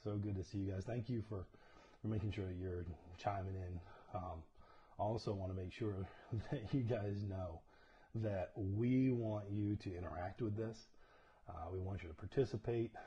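A man speaks at a fairly low pitch in a dark, mellow, somewhat breathy tone. His intonation is fairly even, and he takes long, frequent pauses. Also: moderate pace. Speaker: church leader hosting livestream. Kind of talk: casual livestream greeting. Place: home room. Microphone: lapel.

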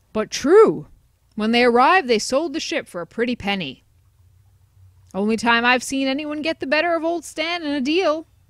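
Using a put-on character voice, a woman speaks at a moderate pace in a high pitch on a very clean recording with a silent background. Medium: solo performance. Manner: gruff, sarcastic.

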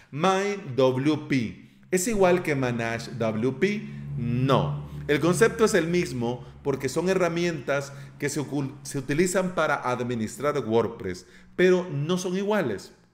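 With audible room echo and noticeable background noise, a man speaks very slowly at a fairly high pitch, using lively intonation. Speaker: podcast host. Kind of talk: tutorial. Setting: office near street.

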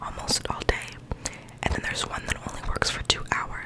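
Through loud background noise, a soft-spoken woman is whispering. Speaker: vlogger. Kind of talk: casual vlog chat. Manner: soft whisper close to microphone. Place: home room. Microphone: studio mic.

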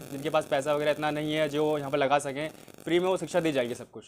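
Light background noise sits under the recording. A man speaks very fast with fairly even intonation. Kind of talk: interview answer. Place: classroom.

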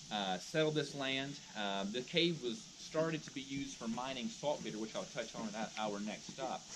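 A man at a moderate pace, with noticeable background noise around him. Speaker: park ranger tour guide. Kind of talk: guided tour talk. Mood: friendly, lightly humorous. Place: forest. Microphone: camera far.

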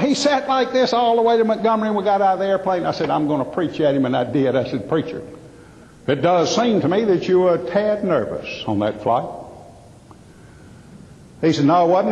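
With a Southern US accent, a man speaks in a high voice at a moderate pace. His pitch swings very widely over noticeable background noise. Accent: Southern American. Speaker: professional speaker, humorist. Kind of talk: live stage humor / keynote comedy talk.

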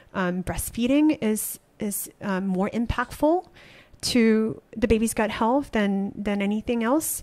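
A woman talks very slowly at a fairly high pitch. Her pitch varies in an ordinary way. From Malaysia. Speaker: startup founder; podcast guest. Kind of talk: interview. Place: studio. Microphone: studio mic.

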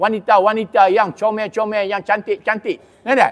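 A high-pitched man's voice at a moderate pace. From Malaysia. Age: 60s. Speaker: religious preacher. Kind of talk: sermon. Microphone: handheld.

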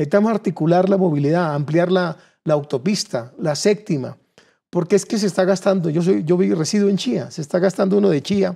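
In a quiet background, a man speaks with a high pitch and a dark, mellow tone. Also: ordinary pitch variation, fairly quick pace. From Colombia, Cundinamarca (Suesca); Cundinamarca, Colombia. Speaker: political candidate; candidate. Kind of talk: political interview; interview answer. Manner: halting, with repeated words. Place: studio. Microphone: lapel.

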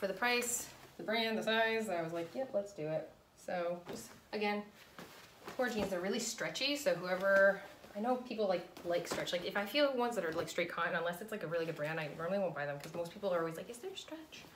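A woman with a medium-pitched voice and lively intonation is heard with audible room echo and light background noise. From New England. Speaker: clothing reseller. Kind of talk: casual talk to camera. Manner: fast. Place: home room. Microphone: phone near.

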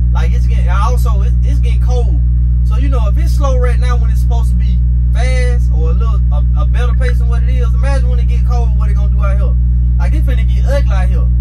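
A man speaks fairly quickly while loud background noise fills the recording. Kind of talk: casual vlog chat. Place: car. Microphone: phone near.

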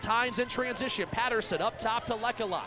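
A man speaks at an extremely high pitch. The sound is dry with no echo, though noticeable background noise comes through. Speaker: play-by-play announcer. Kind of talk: rapid-fire basketball play-by-play highlight commentary. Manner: excitable bursts on big shots. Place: stadium. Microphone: headset.

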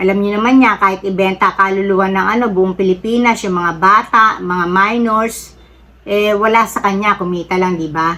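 A woman's medium-pitched voice moves at a moderate speed with fairly even intonation. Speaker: political commentary vlogger. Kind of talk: casual opinion monologue. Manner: halting with frequent fillers.

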